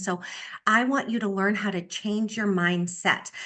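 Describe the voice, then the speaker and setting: Against a quiet background, a woman's voice shows ordinary pitch variation. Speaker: sales director. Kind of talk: motivational talk on video call. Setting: video call. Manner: fast; animated.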